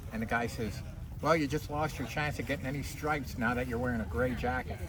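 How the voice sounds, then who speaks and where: A man's medium-pitched voice at a very fast pace with ordinary pitch variation, amid noticeable background noise and audible room echo. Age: 70s. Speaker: Civil War reenactor. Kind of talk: casual chat, anecdote. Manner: talkative.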